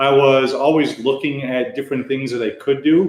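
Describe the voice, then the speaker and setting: A man with an American accent, fairly high-pitched, at a moderate pace, in a normal speaking voice. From United States. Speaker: web developer and English teacher. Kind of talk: casual chat. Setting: livestream.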